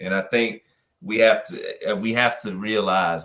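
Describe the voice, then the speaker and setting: This man's voice is fairly low in pitch with a bright, sharp tone, on a very clean recording with a silent background. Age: 30s. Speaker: prisoner advocate. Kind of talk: interview.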